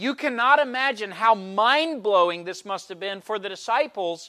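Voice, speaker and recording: A man's raised, projected voice, bright and sharp in tone, with lively intonation at a fairly slow pace, on a very clean recording with a silent background. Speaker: preacher. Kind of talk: sermon. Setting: church.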